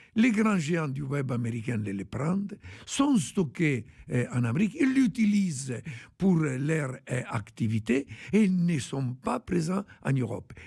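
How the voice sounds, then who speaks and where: The speech is very slow and somewhat breathy, in an Italian accent. Its pitch swings very widely. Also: man, fairly high pitch for a man. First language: Italian (speaking French). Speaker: tech industry expert. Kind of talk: radio interview.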